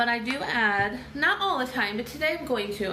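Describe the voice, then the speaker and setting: A woman talks somewhat unhurriedly in a room with audible echo and clear background noise. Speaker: makeup seller and beauty vlogger. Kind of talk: live makeup tutorial. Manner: chatty, casual.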